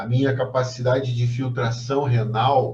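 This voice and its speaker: A man speaks in a somewhat breathy voice with fairly even intonation, and audible room echo surrounds him. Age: 60s. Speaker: professor. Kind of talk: lecture.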